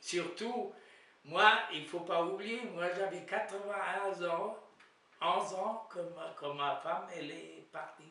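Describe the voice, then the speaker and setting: Amid noticeable background noise and audible room echo, a man speaks at a very slow pace in a high pitch. His intonation stays fairly even while his loudness swings widely. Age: 90s. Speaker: elderly widower. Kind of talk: interview. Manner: halting.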